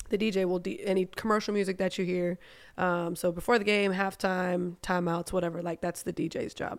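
A woman speaks at a medium pitch and a fairly quick pace, her intonation monotone and flat. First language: German. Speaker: DJ. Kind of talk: casual chat. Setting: studio.

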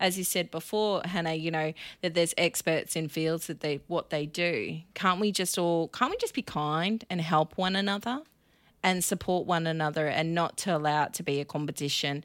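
In a very clean recording with a silent background, a woman with an Australian accent speaks at a moderate pace, her fairly low pitch showing ordinary variation. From Australia, Victoria and Queensland. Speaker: event organiser and marketing business founder. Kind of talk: casual interview chat.

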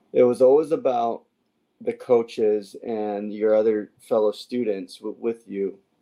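A man speaks in an unremarkable speaking voice at a medium pitch. He keeps a fairly slow pace and fairly even intonation. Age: 30s. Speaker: podcast host and former baseball player. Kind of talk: podcast interview.

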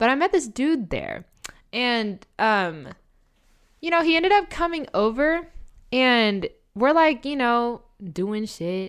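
Speaking with an American accent, a woman uses a high pitch and very wide pitch swings at a very slow pace with long, frequent pauses. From US South. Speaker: flight attendant. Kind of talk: casual chat.

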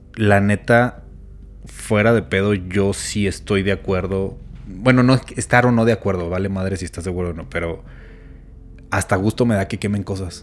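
A man speaks in a plain, everyday voice, fairly low in pitch. His pace is moderate. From Mexico, Chihuahua. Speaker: podcast co-host. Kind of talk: casual chat.

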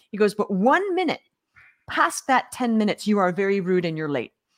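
A woman speaks at a fairly quick pace in an animated tone. Her voice sits at medium pitch, with lively intonation. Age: 50s. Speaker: business coach. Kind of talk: interview.

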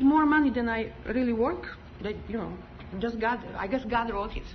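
A woman speaks with a non-native accent. Noticeable background noise runs behind her. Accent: foreign. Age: 50s. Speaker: congregation member giving testimony. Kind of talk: testimony. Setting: church.

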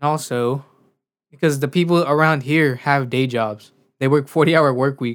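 With a normal speaking voice, a man with an American accent and fairly high pitch talks at a moderate pace with fairly even intonation, recorded very cleanly over a silent background. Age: 20s. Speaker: podcast co-host and audio engineer. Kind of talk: casual chat.

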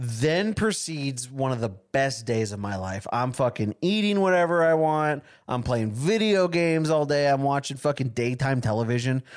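A man speaks at a moderate pace in an ordinary speaking voice, fairly high, with lively intonation. The recording is very clean against a silent background. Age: 20s. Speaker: podcast co-host. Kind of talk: casual chat. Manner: joking.

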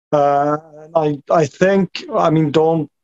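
The sound of this man's fairly high-pitched voice is dry and close, with no echo. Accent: Norwegian. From Norway. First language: Norwegian. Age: 30s. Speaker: fan club founder. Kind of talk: casual chat. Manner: halting.

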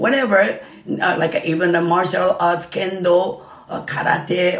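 A woman talks at a fairly slow pace with a Japanese accent. Noticeable background noise runs underneath. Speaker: Japanese dance instructor. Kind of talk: casual interview. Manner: halting, rambling.

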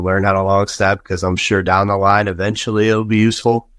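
A man with an American accent talks at a fairly quick pace in a fairly low voice, an unremarkable speaking voice, caught in a very clean, dry, close recording with a silent background and no echo. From Colorado. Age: 20s. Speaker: college football offensive lineman. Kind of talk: casual chat.

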